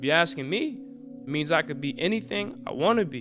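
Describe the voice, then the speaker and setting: Music plays in the background as a man talks. He has an American accent and a fairly quick pace. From United States. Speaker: spoken word artist. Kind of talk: spoken word poetry performance.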